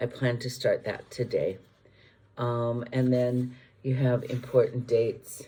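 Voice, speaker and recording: A dark, mellow tone that is somewhat breathy. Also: woman. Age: 70s. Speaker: vlogger. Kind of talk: casual chat. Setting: video recorded on iPad. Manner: hesitant, many fillers.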